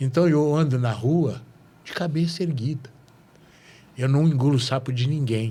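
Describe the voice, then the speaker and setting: A man's somewhat breathy voice moves at a fairly slow pace. His pitch variation is ordinary. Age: 60s. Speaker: podcast host. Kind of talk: casual interview chat.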